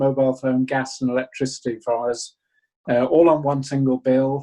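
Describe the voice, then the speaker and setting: A man with a northern English accent, medium pitch and a dark, mellow tone, at a moderate pace. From northern England, Buxton, Derbyshire. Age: 70s. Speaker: small business owner. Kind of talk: interview.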